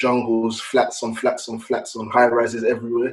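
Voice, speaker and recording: At a fairly quick pace, a man with a London accent speaks at a medium pitch. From London, England. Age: 30s. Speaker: podcast guest. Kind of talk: casual chat.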